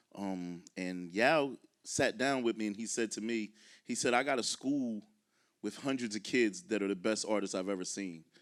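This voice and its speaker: On a very clean recording with a silent background, a man with an American accent uses an ordinary speaking voice at a fairly low pitch. His pace is fairly quick, with ordinary pitch variation. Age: 40s. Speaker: artist. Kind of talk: panel talk.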